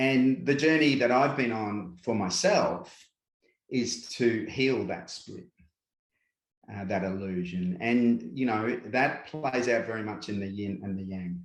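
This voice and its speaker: A man talks fairly slowly at a medium pitch, his pitch varying in an ordinary way. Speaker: spiritual guide, workshop presenter. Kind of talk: interview.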